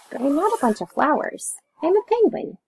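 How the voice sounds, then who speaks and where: A woman puts on a loud character voice at an extremely high pitch. Her pitch swings very widely, and she talks at a fairly quick pace. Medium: read story. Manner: loud, hearty.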